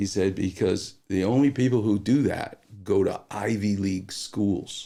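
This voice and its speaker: A man with an American accent talks at a fairly slow pace in a dark, mellow tone with ordinary pitch variation. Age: 60s. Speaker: orthopedic surgeon. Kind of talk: podcast interview storytelling. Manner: animated.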